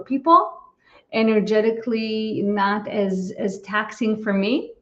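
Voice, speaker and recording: This woman has an unremarkable speaking voice, fairly high in pitch, with ordinary pitch variation. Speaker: psychologist and channel. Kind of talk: casual interview.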